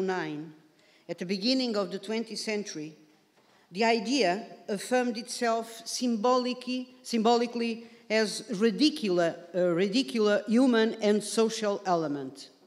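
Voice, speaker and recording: A woman's fairly high voice with a Portuguese accent, lively intonation and a moderate pace. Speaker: career guidance academic. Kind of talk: conference presentation. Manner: formal.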